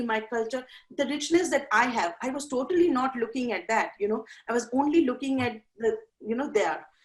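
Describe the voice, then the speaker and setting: A woman with an Indian accent, high in pitch and fairly quick. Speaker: life coach. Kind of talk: interview. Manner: halting.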